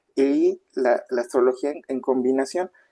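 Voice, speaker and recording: A fairly high-pitched male voice with a dark, mellow tone, ordinary pitch variation and a fairly slow pace, dry and close with no echo. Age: 40s. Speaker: astrologer and tarot reader. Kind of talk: interview. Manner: hesitant, many fillers.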